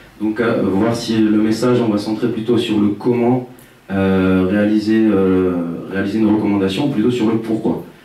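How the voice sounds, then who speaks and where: There is audible room echo around a man's fairly low voice. His intonation is monotone and flat. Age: 20s. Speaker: researcher. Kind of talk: conference presentation. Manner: fast; hesitant, many fillers.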